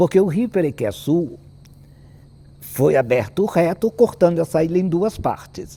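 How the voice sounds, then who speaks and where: Pausing long and often, a man with a high pitch speaks at a fairly slow pace with lively intonation. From Brazil, Paraty (Rio de Janeiro state). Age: 80s+. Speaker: historian. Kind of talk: panel talk on local history. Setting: auditorium stage with audience.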